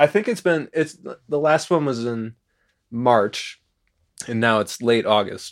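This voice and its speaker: A man with an American accent talks at a fairly slow pace and medium pitch, with ordinary pitch variation. The recording is very clean, with a silent background. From Chicago. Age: 30s. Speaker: musician and therapist. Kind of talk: casual chat. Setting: studio.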